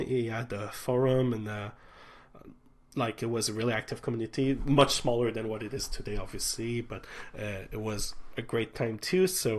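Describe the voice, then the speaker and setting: This man talks at a medium pitch with a strong Quebec accent. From Quebec City, Quebec. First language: French. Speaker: transit channel host. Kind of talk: livestream chat. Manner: halting, many fillers.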